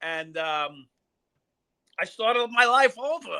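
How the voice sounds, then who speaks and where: Using a raised, projected voice, a man with a New York accent talks fairly slowly with lively intonation. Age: 60s. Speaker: former police officer. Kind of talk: interview. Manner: halting.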